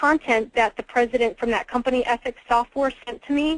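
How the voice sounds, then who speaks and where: A woman's high-pitched voice at a fairly quick pace, with ordinary pitch variation and a dry, close sound with no echo. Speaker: webinar trainer. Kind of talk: training webinar. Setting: webinar call. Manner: fast; casual, with fillers.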